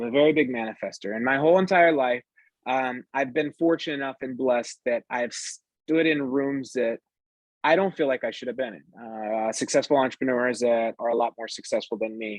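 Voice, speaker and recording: Against a quiet background, the voice carries an American accent and ordinary pitch variation in a dry, close sound with no echo. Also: man, medium pitch for a man. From northern US. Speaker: entrepreneur. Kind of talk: interview chat. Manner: fast; hesitant fillers.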